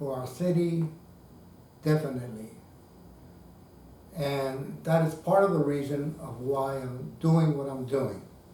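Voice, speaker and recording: Amid noticeable background noise and audible room echo, a man with a fairly high pitch speaks with ordinary pitch variation, big swings in loudness and long, frequent pauses. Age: 60s. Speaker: retired man running as write-in candidate for governor. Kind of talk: video diary political monologue. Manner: measured, with filler hesitations.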